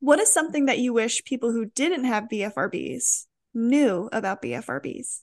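Against a quiet background, a woman with vocal fry speaks at a moderate pace and fairly high pitch with lively intonation. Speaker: podcast host. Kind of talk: interview with ad reads.

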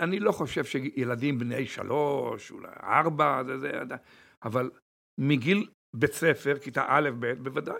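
A man talks at a fairly slow pace with a fairly high pitch and ordinary pitch variation. His tone is bright and sharp, and his loudness swings widely. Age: 70s. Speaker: crystal shop owner. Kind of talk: interview.

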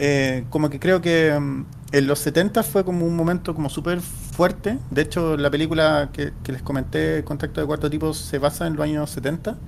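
A man talks at a moderate pace with hardly any pauses. His fairly high voice keeps fairly even intonation. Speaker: podcast co-host. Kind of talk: casual chat.

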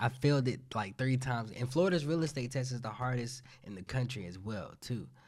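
A man speaks at a medium pitch and a fairly quick pace, with ordinary pitch variation and a somewhat breathy quality. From South Carolina. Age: 20s. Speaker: real estate agent and podcaster. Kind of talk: casual chat.

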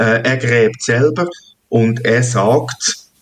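This man speaks at a very slow pace. His pitch is medium. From Switzerland, Hünenberg (canton Zug). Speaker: farmer. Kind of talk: interview. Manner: halting, many fillers.

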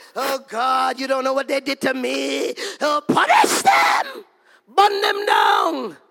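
A put-on character voice, whiny and shouting, at a fairly slow pace. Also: man, extremely high pitch for a man. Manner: whining.

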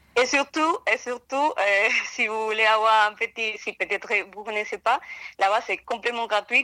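A woman with a Spanish accent, a fairly high pitch, ordinary pitch variation and a bright, sharp tone, in a very clean, dry, close recording with no echo and a silent background. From Colombia. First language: Spanish (speaking French). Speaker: art history student, museum worker. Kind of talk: casual interview. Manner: hesitant, many fillers.

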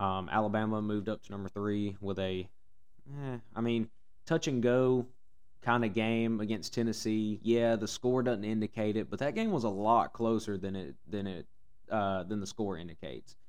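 Speaking at a moderate pace, a man with a fairly low voice uses ordinary pitch variation. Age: 20s. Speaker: college football podcast host. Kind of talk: solo sports commentary podcast. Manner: hesitant, many fillers.

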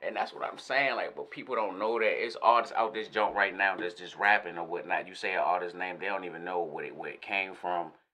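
A man speaks at a fairly quick pace. Noticeable background noise runs beneath his voice. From Northern Virginia, DMV area (Alexandria). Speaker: rapper. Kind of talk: casual interview. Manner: animated.

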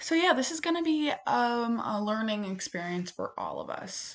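This woman talks at a moderate pace. Her pitch swings very widely. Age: 20s. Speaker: college student podcaster. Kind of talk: casual monologue. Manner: sped up to 1.5x; hesitant, many fillers.

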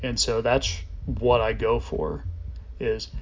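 A man's voice over noticeable background noise. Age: 30s. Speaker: podcast host and motocross rider. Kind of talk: casual solo monologue.

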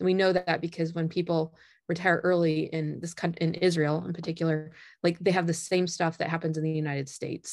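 A woman with a Midwestern American accent talks at a fairly quick pace in a fairly low pitch. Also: quiet background. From US Midwest, northern Indiana. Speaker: management professor. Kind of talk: interview.

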